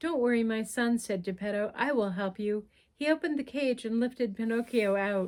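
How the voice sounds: Just a natural reading voice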